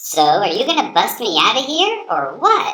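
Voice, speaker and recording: A high-pitched, cartoonish character voice runs at a moderate pace. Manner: casual, laid-back.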